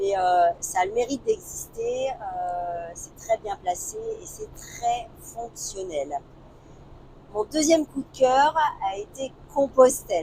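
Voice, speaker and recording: Over noticeable background noise, a woman speaks very slowly at a fairly high pitch, with very wide pitch swings and big swings in loudness. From northern France, Lille. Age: 50s. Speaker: travel vlogger. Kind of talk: casual chat. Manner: hesitant, many fillers.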